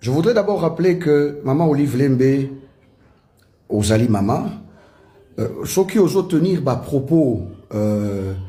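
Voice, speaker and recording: A man's fairly high, somewhat breathy voice with a dark, mellow tone, very slow pace and audible room echo. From DR Congo, Kinshasa. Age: 40s. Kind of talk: political statement to camera.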